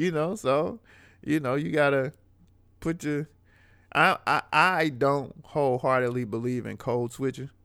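On a very clean recording with a silent background, a man speaks with an American accent in a fairly high voice with a bright, sharp tone. His pace is fairly slow, with long, frequent pauses. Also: ordinary pitch variation. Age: 40s. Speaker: rapper and financial educator. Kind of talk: casual interview conversation.

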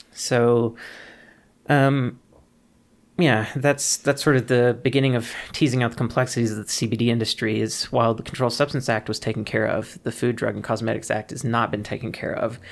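In a very clean recording with a silent background, a man with an American accent and a normal speaking voice talks at medium pitch, at a fairly quick pace, with fairly even intonation. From US South, Mississippi. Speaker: cannabis science educator. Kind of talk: interview.

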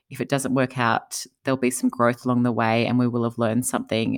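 A woman with an Australian accent speaks at a fairly quick pace in a very deep, low pitch, her voice showing vocal fry. Her intonation is monotone and flat, and the sound is dry and close with no echo. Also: very clean recording, silent background. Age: 40s. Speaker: entrepreneur and author. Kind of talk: interview conversation.

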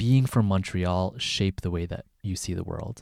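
A man with a normal speaking voice talks at a fairly low pitch and a fairly slow pace. His intonation is fairly even, in a very clean recording with a silent background. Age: 30s. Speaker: podcast host. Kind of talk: interview.

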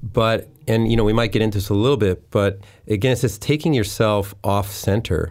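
A man's plain, everyday voice, fairly low in pitch, with fairly even intonation, very even loudness and a fairly quick pace. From Winnipeg, Canada. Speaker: youth ministry director. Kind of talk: casual interview. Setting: studio.

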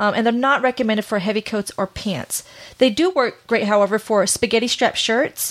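Talking at a fairly quick pace, a woman uses a fairly high pitch. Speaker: podcast host. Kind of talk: casual chat. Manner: fast talker.

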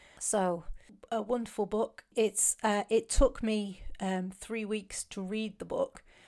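With a British accent, a woman speaks very slowly in a dark, mellow tone at a fairly high pitch, her intonation monotone and flat, on a very clean recording with a silent background. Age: 40s. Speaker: podcast host. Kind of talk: casual monologue. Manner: halting.

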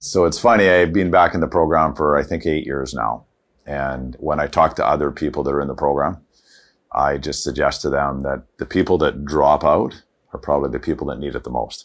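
Speaking at a fairly quick pace with a Canadian accent, a man's voice carries vocal fry. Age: 60s. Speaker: financial advisor. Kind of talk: interview testimony.

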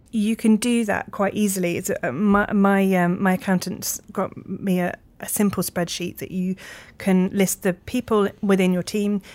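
Using a plain, everyday voice, a woman of medium pitch speaks at a moderate pace with fairly even intonation. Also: very clean recording, silent background. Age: 30s. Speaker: video production company executive producer. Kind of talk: interview.

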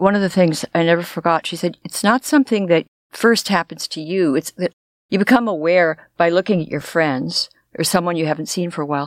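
A woman's fairly low-pitched, unremarkable speaking voice with an American accent, at a fairly quick pace, dry and close with no echo, on a very clean recording with a silent background. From US West Coast, Los Angeles. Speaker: podcast co-host. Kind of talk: casual chat.

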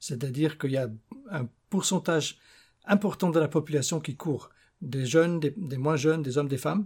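Somewhat breathy and fairly high in pitch, a man talks at a moderate pace in a very clean recording with a silent background. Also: ordinary pitch variation. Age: 50s. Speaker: barefoot runner. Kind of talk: interview. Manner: halting.

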